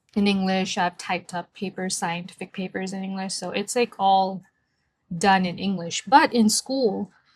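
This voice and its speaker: A woman with a somewhat breathy, medium-pitched voice is captured in a very clean recording against a silent background. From India. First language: Marathi. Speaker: book vlogger. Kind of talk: casual vlog talk. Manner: casual, hesitant with fillers.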